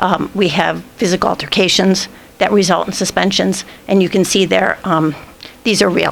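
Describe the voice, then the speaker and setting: Noticeable background noise sits behind a woman speaking at medium pitch. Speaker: school administrator presenting data. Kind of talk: board meeting presentation. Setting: school board meeting. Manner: fast.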